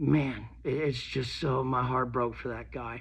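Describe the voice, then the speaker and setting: Amid audible room echo, a man talks at a very slow pace with medium pitch and monotone, flat intonation. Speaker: vlogger in addiction recovery. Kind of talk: personal vlog monologue. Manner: halting, repetitive.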